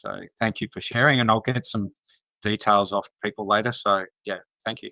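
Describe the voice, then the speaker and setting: In a very clean recording with a silent background, a man with an Australian accent speaks at a moderate pace in a bright, sharp tone with monotone, flat intonation and a dry, close sound with no echo. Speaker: community gathering co-host. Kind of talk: casual chat.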